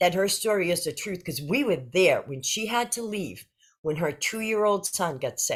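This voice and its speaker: In a very clean recording with a silent background, a woman at a medium pitch talks in an animated tone with vocal fry and very wide pitch swings. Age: 60s. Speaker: interview guest sharing health story. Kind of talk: casual interview.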